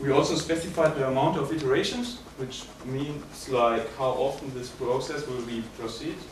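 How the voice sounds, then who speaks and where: At a moderate pace, a man speaks at a medium pitch with ordinary variation, with audible room echo and noticeable background noise. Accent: German. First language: German. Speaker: student. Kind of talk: project presentation. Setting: presentation room with audience, no microphone. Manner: hesitant, with fillers.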